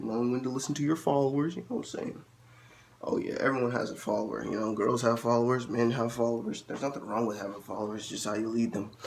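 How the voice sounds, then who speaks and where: A man's medium-pitched voice at a very fast pace, with ordinary pitch variation and audible room echo. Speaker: vlogger. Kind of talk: casual monologue. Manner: casual, halting with repetitions.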